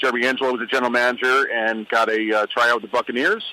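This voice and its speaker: With an American accent and a medium pitch, a man talks at a very fast pace over noticeable background noise. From New York, Brooklyn. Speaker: former football player and radio guest. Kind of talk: radio interview.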